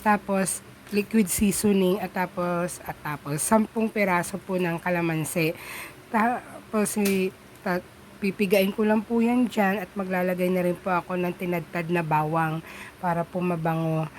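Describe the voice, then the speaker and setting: A woman's mid-pitched voice comes through over clearly noticeable background noise. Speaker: home cooking vlogger. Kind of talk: cooking tutorial voiceover. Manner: casual, halting.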